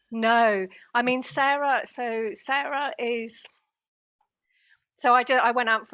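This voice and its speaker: A woman speaks with a British accent at a fairly high pitch. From Britain. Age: 50s. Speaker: spiritual healer and channeler. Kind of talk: interview.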